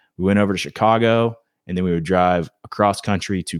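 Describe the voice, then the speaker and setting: With an unremarkable speaking voice and an American accent, a man talks at a fairly quick pace and a fairly low pitch for a man, the sound dry and close with no echo on a very clean recording with a silent background. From South Carolina, Myrtle Beach. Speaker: golf influencer and former pro surfer. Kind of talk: casual chat.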